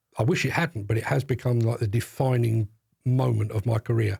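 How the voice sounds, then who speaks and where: In a very clean recording with a silent background and a dry, close sound with no echo, a man with a London accent talks at a moderate pace in a medium pitch, somewhat breathy. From South London. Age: 60s. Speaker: demolition industry journalist. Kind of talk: podcast interview. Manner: halting, repeats words.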